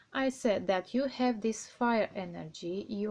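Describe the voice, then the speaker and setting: A woman with a non-native accent speaks fairly slowly in a dark, mellow tone, at a fairly high pitch with ordinary pitch variation. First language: not English. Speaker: tarot reader. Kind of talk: tarot reading. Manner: halting.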